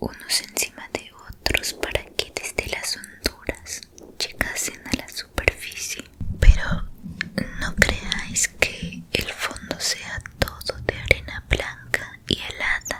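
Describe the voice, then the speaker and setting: Over noticeable background noise, a woman whispers very slowly, her loudness swinging widely. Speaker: ASMR storyteller. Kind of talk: sleep story. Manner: whispered.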